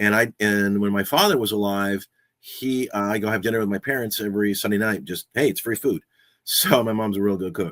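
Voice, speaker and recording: An ordinary speaking voice belongs to this man, who talks at a fairly low pitch and a fairly quick pace on a very clean recording with a silent background. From Southern California. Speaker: podcaster and radio host, voice over actor. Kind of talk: casual talk to camera, podcast chat about personal history. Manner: conversational, relaxed, humorous.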